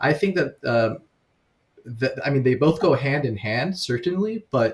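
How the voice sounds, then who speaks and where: Somewhat breathy and fairly high for a man, his voice moves at a fairly slow pace with lively intonation. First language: Farsi. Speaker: podcast co-host. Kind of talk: podcast interview. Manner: halting, many fillers.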